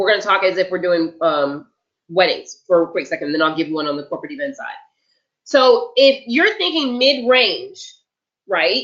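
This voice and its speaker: Loud, energetic tone from a woman with very wide pitch swings. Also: fairly high pitch for a woman, moderate pace. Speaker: event planning tutor. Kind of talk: webinar lecture. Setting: online webinar.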